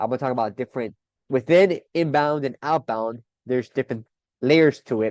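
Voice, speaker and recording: A man talks with an energetic tone at a fairly quick pace and with ordinary pitch variation. The sound is dry and close, with no echo. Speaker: marketing podcast host. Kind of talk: solo podcast monologue. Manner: fast.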